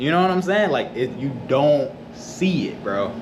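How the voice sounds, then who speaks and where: Animated and fairly slow, a man with an American accent speaks at a fairly high pitch, with noticeable background noise and audible room echo. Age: 20s. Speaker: vlogger. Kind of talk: casual vlog storytelling. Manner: animated, repetitive.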